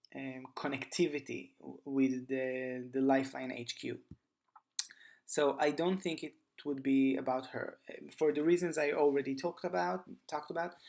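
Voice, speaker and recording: Speech comes at a moderate pace. It carries a non-native accent. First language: not English. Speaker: gaming youtuber. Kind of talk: casual monologue. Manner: halting, many fillers.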